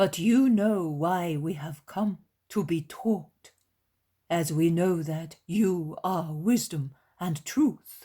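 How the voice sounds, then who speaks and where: A man does a put-on character voice at a high pitch. He goes at a very slow pace with ordinary pitch variation. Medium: read story. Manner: reverent, measured.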